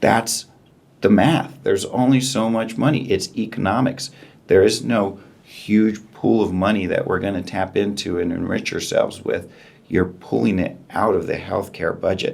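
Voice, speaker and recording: A man with a fairly low pitch speaks at a moderate pace, his pitch varying in an ordinary way. Music plays in the background. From New Mexico (Mora). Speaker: eye surgeon. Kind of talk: interview.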